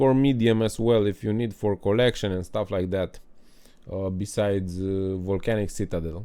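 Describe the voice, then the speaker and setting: This man's tone is dark and mellow. He speaks with a non-native accent. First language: not English. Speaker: gaming guide creator. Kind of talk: gameplay tutorial. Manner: halting, many fillers.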